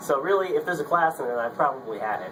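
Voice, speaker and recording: Upbeat in tone, a man talks at a very fast pace with ordinary pitch variation. Noticeable background noise runs underneath. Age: 20s. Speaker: engineering graduate student. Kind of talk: casting video pitch. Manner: casual, upbeat.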